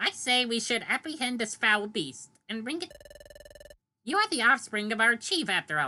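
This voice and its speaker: Putting on a character voice, a woman pitches it fairly high. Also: moderate pace. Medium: game stream. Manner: archaic, accusatory speech.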